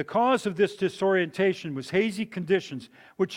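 This man speaks high in pitch and at a moderate speed, with pitch varying in an ordinary way. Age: 70s. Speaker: preacher. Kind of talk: sermon. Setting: church.

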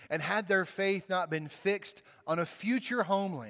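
With a Southern US accent, a man is talking. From Mississippi, US South. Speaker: pastor. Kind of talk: sermon.

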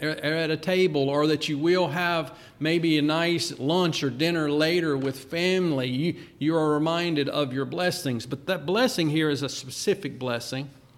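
A man with a fairly high pitch and ordinary pitch variation talks at a moderate pace, with audible room echo. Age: 50s. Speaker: pastor. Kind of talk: sermon.

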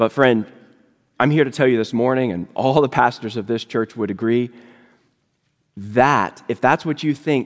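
With an American accent, a man talks at a moderate pace in an unremarkable speaking voice of medium pitch. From Virginia. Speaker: lay elder and guest preacher. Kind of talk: sermon. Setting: church service.

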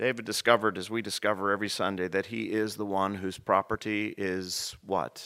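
A man with an ordinary speaking voice talks at a moderate pace, his pitch fairly low and his intonation fairly even. The recording is very clean, with a silent background. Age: 50s. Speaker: rector teaching a church class. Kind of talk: bible study lecture.

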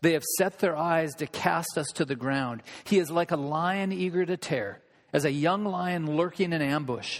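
Speaking at a moderate pace, a man with an American accent has a high pitch and ordinary pitch variation. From Olympia, Washington, US. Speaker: preacher. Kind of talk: sermon; fervent prayer. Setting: church. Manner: earnest, pleading.

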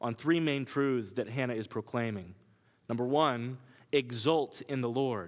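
With an American accent, a man speaks in an unremarkable speaking voice at medium pitch. His pace is moderate and his intonation fairly even. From Kansas. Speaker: preacher. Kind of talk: sermon. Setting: church.

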